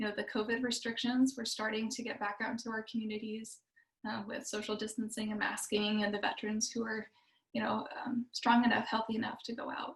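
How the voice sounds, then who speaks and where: At a fairly quick pace, a woman speaks in a fairly high pitch with monotone, flat intonation. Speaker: nonprofit representative for service dogs. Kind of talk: presentation. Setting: video call. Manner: fast.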